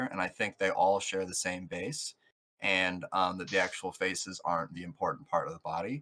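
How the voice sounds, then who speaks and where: In a very clean recording with a silent background, a man uses a put-on character voice that is raspy and very deep, at a moderate pace. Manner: fast, rushed.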